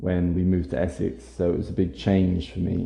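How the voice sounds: In a British accent, the voice comes through with a dark, mellow tone and vocal fry at a fairly slow pace, with audible room echo. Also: man. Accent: generic British.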